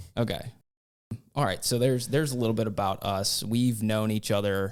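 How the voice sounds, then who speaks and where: In a very clean recording with a silent background, a man speaks at a fairly low pitch and a moderate pace, with fairly even intonation. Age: 30s. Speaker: podcast host. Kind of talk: casual chat.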